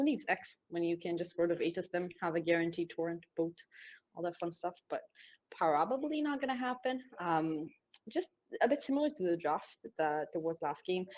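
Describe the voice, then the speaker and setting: A woman with an Israeli accent speaks at a moderate pace and a fairly low pitch, her voice making very wide pitch swings. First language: Hebrew. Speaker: esports caster. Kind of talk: live commentary; casual chat. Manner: animated.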